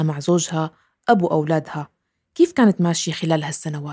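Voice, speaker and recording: The recording is dry and close, with no echo. A woman speaks in a dark, mellow tone. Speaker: podcast host. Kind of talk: scripted podcast intro and narration.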